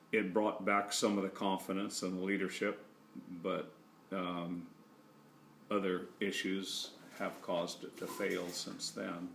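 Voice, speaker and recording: A man with an American accent speaks at a very deep, low pitch in a monotone, flat intonation, with long, frequent pauses and audible room echo. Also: fairly slow pace. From California. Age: 60s. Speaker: grandparent interviewee. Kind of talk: family history interview. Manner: hesitant, many fillers.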